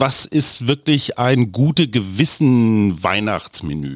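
Intonation lively, a man talks at a very slow pace. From Germany, Oldenburg area. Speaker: podcast host and journalist. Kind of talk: casual interview.

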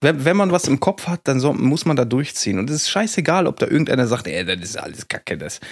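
A man talks very fast at a fairly high pitch, his voice swinging very widely in pitch with vocal fry, in a dry, close sound with no echo. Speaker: podcast co-host. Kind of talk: casual banter podcast.

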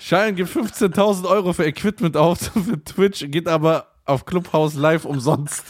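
Speaking at a fairly slow pace with hardly any pauses, a man uses a high-pitched voice with ordinary pitch variation. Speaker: podcast host. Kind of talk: casual banter, comedic roasting chat.

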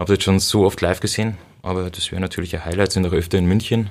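A man talks very fast in a very deep, low voice. His intonation stays monotone and flat. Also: very clean recording, silent background. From Bavaria, Upper Palatinate (Cham district). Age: 30s. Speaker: punk rock guitarist. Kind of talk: casual interview.

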